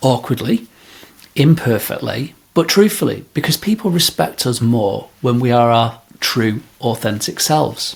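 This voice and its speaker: A man's medium-pitched, somewhat breathy voice with a Manchester accent, lively intonation and a fairly slow pace. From northern England, Greater Manchester. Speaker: podcast host, leadership coach. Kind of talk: podcast monologue.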